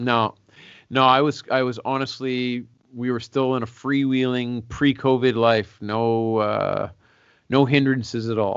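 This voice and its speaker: Monotone and flat, a man with a Canadian accent speaks at a fairly slow pace. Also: medium pitch for a man. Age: 40s. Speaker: singer-songwriter. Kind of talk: casual interview.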